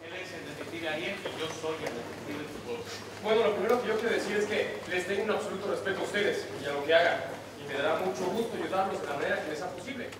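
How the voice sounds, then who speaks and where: A man talking very fast, with audible room echo and noticeable background noise. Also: ordinary pitch variation. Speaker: stage actor. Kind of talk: theatre dialogue. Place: stage. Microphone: camera far.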